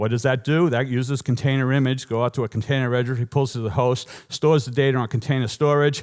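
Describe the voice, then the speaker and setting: Delivered at a fairly quick pace with ordinary pitch variation, this Boston accent comes through on a very clean recording with a silent background. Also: man. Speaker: software engineer giving a conference talk. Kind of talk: conference talk. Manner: animated.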